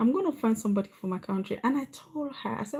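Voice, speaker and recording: A woman's fairly high, somewhat breathy voice with a dark, mellow tone, in a Sierra Leonean accent, at a very fast pace with ordinary pitch variation. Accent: Sierra Leonean accent, unchanged. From Sierra Leone, West Africa. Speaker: vlogger. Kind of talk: livestream monologue. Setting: live stream.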